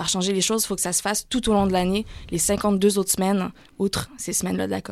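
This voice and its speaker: Speaking at a very fast pace in a slight Canadian French accent, a woman keeps a medium pitch and a monotone, flat intonation. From Canada. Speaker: climate campaigner. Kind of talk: radio interview.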